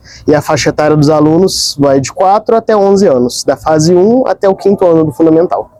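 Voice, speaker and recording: A man speaks in a high voice with a dark, mellow tone and lively intonation, barely pausing, in a dry, close recording with no echo. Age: 30s. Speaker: school psychologist. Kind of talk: interview.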